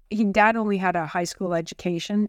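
At a moderate pace, a woman with a Canadian accent speaks on a very clean recording with a silent background. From Ottawa, Canada. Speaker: president and CEO of a bioscience nonprofit. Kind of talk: interview.

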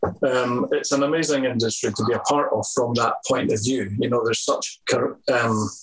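Noticeable background noise sits behind a man with a Scottish accent who speaks at a moderate pace with very even loudness. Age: 50s. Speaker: hairdresser and salon owner. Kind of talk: interview. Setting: video call.

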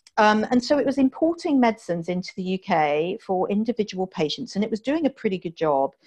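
Speaking at a fairly quick pace with an American accent, a woman has a fairly high, somewhat breathy voice. Her pitch swings very widely, and the sound is dry and close with no echo. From southern England (Dorset). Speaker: healthtech CEO and entrepreneur. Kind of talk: interview. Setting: remote call from home. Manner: plain, down-to-earth.

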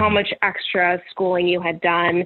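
A woman with an American accent at a moderate pace. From California, Bay Area. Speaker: recruiter and project manager. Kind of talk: interview.

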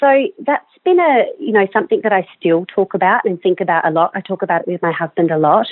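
Speaking very fast with lively intonation, a woman with an Australian accent talks at a medium pitch. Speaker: general practitioner. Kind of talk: interview. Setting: phone call.

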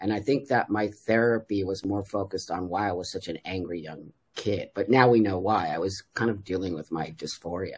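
With an American accent, a man talks fairly quickly in an unremarkable speaking voice, fairly low in pitch with ordinary pitch variation and hardly any pauses. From Los Angeles, California (San Fernando Valley). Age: 60s. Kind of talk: casual podcast interview.

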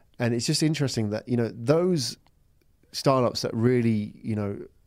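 Dark, mellow tones in a medium-pitched male voice. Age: 40s. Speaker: podcast host. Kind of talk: interview. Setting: studio. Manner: animated, casual.

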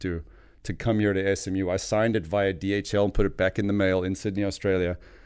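A man with a very deep, low pitch, monotone, flat intonation and a very fast pace, on a very clean recording with a silent background. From South Africa. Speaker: former pro golfer, tequila enthusiast. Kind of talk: casual chat. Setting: studio.

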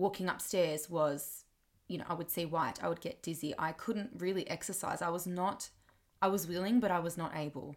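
On a very clean recording with a silent background, a woman with an Australian accent speaks at a moderate pace, her fairly low pitch showing ordinary variation. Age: 20s. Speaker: podcaster and music teacher. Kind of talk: personal monologue.

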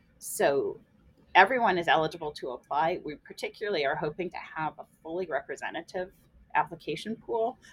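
With an American accent and an unremarkable speaking voice, a woman talks at a fairly quick pace and fairly low pitch, with ordinary pitch variation and big swings in loudness. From US Midwest, central Illinois. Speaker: biology professor. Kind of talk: casual interview.

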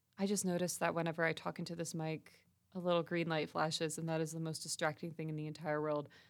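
On a very clean recording with a silent background, a woman speaks at a very fast pace. Her intonation is monotone and flat. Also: fairly low pitch for a woman. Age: 20s. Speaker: podcast host and communication student. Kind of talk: casual monologue. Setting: recording studio space.

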